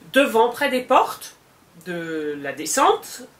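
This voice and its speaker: Amid noticeable background noise, a woman talks very slowly, her pitch swinging very widely. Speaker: vlogger. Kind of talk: storytelling. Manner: animated.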